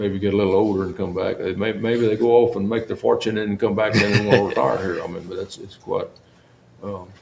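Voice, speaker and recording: A man with a South Texas accent speaks at a fairly quick pace and a fairly low pitch, his intonation fairly even. His loudness swings a lot over noticeable background noise. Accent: South Texas rural. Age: 80s+. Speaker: longtime county sheriff. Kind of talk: interview. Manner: halting, with many repeated words.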